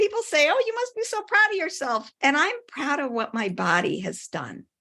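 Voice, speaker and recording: A woman's raised, projected voice with a Midwestern American accent, bright and sharp in tone, moderate in pace, with very wide pitch swings and hardly any pauses. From US Midwest. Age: 60s. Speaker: wellness coach and athlete. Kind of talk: casual interview chat.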